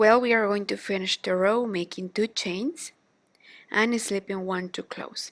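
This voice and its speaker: Recorded very cleanly against a silent background, a woman in a Spanish accent speaks at a fairly slow pace with a medium pitch and ordinary pitch variation. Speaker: crochet teacher. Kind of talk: tutorial. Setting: at home.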